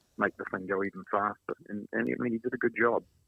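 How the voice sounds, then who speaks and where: A man speaks with a New Zealand accent at a fairly low pitch. His pace is fairly quick. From New Zealand, Invercargill. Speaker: former automotive mechanic, motorcycle collector. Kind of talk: casual interview chat. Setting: podcast.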